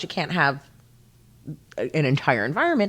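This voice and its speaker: Talking at a fairly quick pace, a woman with an American accent swings her pitch very widely. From US Northeast, Pennsylvania near Philadelphia. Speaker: city council candidate. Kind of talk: casual interview. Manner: halting, many fillers.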